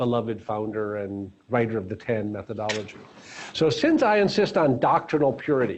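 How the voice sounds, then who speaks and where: Speaking with an unremarkable speaking voice, a man keeps a medium pitch and a moderate pace, his pitch varying in an ordinary way. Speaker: founder and course speaker. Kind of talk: lecture.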